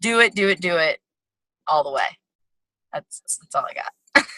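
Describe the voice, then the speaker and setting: A woman talks fairly slowly, and the sound is dry and close with no echo. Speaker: business coach. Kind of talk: motivational talk.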